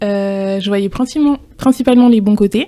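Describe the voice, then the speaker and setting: At a moderate pace, a woman talks with fairly even intonation and a dark, mellow tone. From France. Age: 20s. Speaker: podcast guest. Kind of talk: interview testimony. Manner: hesitant.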